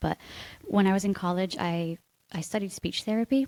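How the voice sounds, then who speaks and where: A woman with an American accent, a normal speaking voice at medium pitch, fairly quick pace, and a dry, close sound with no echo. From United States. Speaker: marketing agency co-owner. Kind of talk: casual interview chat.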